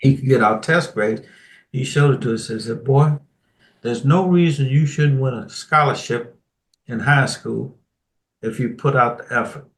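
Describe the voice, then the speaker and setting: At a moderate pace with long, frequent pauses, a man with an American accent sounds somewhat breathy, his medium pitch showing ordinary variation. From Washington DC. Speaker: retired Air Force colonel. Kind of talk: interview answer.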